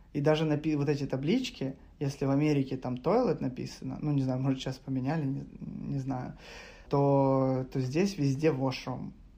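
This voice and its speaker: A plain, everyday voice at a moderate pace with fairly even intonation. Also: man. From Ukraine, Kharkiv. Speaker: web developer. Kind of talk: casual chat.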